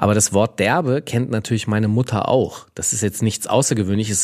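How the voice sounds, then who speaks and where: A man with a plain, everyday voice and a fairly low pitch is heard on a very clean recording with a silent background. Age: 40s. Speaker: podcast co-host. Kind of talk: casual chat.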